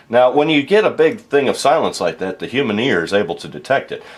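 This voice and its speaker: Talking at a very fast pace, a man with vocal fry and a fairly high pitch makes very wide pitch swings and big swings in loudness. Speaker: voice actor. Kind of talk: casual tutorial talk to camera. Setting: home studio. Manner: casual, relaxed.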